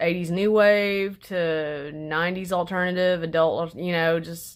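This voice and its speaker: A woman with a Southern US accent, fairly low-pitched, at a fairly slow pace, on a very clean recording with a silent background. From Arkansas. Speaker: vlogger. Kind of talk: casual chat. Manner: halting.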